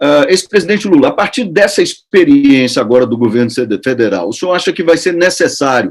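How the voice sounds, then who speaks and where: This man's voice is high and moves at a fairly quick pace. Its pitch swings very widely up and down. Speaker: radio host, journalist. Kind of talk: radio interview. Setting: radio studio.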